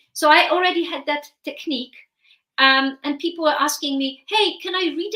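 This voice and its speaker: In a Polish accent, a woman speaks at a moderate pace with a raised, projected voice. Her pitch is high with ordinary variation, and her tone is bright and sharp. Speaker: therapist and author. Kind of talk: interview.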